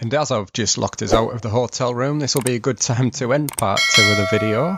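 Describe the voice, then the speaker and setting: Over noticeable background noise, a man with a northern British accent talks at a fairly quick pace, at medium pitch with ordinary pitch variation. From northern England. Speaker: travel vlogger. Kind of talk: travel vlog narration. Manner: fast.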